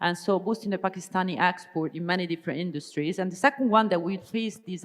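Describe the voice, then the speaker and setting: A woman speaks with an Italian accent. Her pitch sits in the medium range and varies in an ordinary way. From Italy. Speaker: business strategy consultant, keynote speaker. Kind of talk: keynote speech. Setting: conference stage with audience. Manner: hesitant fillers, some false starts.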